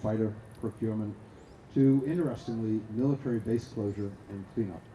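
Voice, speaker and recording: A very fast-talking man with a slight Boston accent, a fairly low pitch and fairly even intonation. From US Northeast, Boston. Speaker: arms control expert, award laureate. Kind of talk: talk at a conference panel. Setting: stage with audience. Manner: halting, with many fillers.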